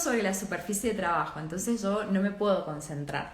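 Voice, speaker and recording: A woman's pitch swings very widely. Noticeable background noise runs beneath her. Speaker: architecture and design teacher. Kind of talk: live online class. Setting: livestream. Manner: many filler hesitations.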